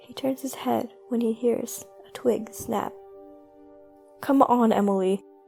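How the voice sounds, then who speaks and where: Music plays in the background. The speaker goes at a fairly slow pace with fairly even intonation. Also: woman. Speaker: amateur narrator. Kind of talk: creepypasta horror story narration.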